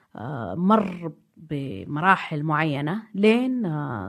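This woman's voice sits very deep and low, and her pitch swings very widely. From Saudi Arabia, Najd (Riyadh/Diriyah). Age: 50s. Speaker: art historian. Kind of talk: casual chat.

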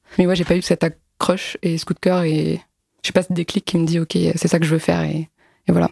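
A woman speaks at a fairly quick pace in a fairly low pitch, with vocal fry and fairly even intonation. Her tone is dark and mellow, and the sound is dry and close with no echo. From Alsace, France. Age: 20s. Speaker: comic book author and illustrator. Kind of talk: casual interview.

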